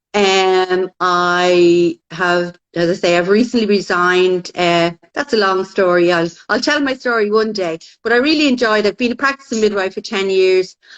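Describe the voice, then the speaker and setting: Woman in a Dublin accent, medium pitch with ordinary pitch variation, at a moderate pace. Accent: Irish (Dublin). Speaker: midwife. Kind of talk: casual chat. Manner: loud.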